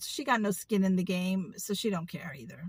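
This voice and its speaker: Dry and close with no echo, a woman's bright, sharp, animated voice moves at a moderate pace. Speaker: video blogger. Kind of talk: casual rant.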